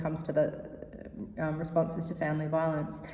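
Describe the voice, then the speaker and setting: A woman with an Australian accent speaks very fast at a fairly low pitch. Audible room echo and noticeable background noise surround her. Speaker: activist and researcher panelist. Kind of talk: prepared conference talk.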